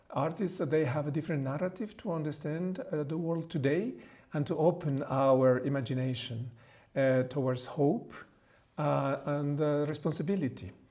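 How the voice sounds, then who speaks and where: Speaking in a Mexican accent, a man with a dark, mellow tone and fairly high pitch talks at a moderate pace amid audible room echo. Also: ordinary pitch variation. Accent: non-native English (Mexican Spanish). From Mexico. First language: Spanish. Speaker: priest and theologian. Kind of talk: lecture. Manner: halting, many fillers.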